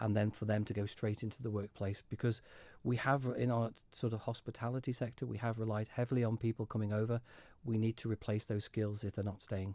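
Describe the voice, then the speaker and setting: A man with a dark, mellow tone speaks at a medium pitch and a fairly quick pace in a monotone with flat intonation. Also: very clean recording, silent background. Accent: Manx. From Isle of Man. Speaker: politician. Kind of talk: radio interview. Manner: halting.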